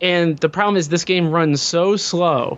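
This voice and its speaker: A man with a high pitch speaks with ordinary pitch variation. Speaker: podcaster. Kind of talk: casual chat.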